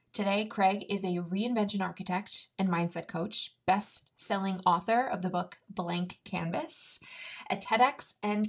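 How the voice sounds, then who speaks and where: The woman's delivery is fairly slow and somewhat breathy, her pitch shifting in an ordinary way. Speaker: podcast host and fitness trainer. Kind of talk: casual interview conversation.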